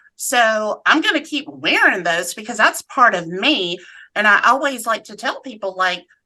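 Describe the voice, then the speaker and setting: Speaking with a slight Southern US accent, a woman has a fairly high pitch and a bright, sharp tone. She goes at a fairly slow pace with very wide pitch swings. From US South, Atlanta, Georgia. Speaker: cancer survivor and advocate. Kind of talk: casual interview chat.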